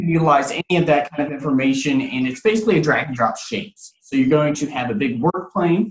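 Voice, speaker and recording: A man speaks at a fairly quick pace, his voice somewhat breathy. His pitch varies in an ordinary way, and the room echo is audible. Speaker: 3D printing trainer. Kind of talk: tutorial. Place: office. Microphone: video call.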